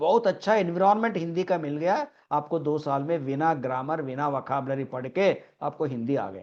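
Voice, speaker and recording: Speaking in a Telangana accent, a man uses a fairly high pitch. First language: Telugu (speaking Hindi). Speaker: English teacher. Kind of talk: online class lecture.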